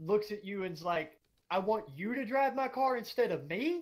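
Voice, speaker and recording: In a Southern US accent, a man speaks with lively intonation. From US South, Georgia. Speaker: gaming streamer. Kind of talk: casual chat.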